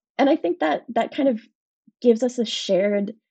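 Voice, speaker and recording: Against a quiet background, a woman speaks at a fairly quick pace in a dark, mellow tone with vocal fry. Her pitch varies in an ordinary way, and the sound is dry and close with no echo. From Springdale, Pittsburgh area. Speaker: food writer. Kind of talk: casual interview.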